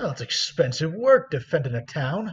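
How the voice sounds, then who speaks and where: A man puts on a gruff character voice at a fairly high pitch, with very wide pitch swings and a moderate pace. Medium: actual play. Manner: gruff, folksy, dropped letters.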